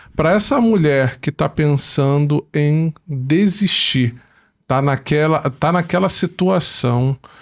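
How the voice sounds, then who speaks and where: The speaker is a man. His pitch is fairly high. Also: very clean recording, silent background. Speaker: podcast host. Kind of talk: podcast interview.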